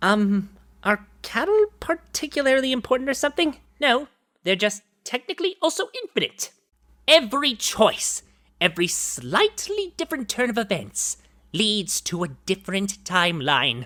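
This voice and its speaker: This cartoonish character voice has a smug tone and a fairly high pitch with very wide swings. It moves at a moderate pace. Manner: smug, condescending.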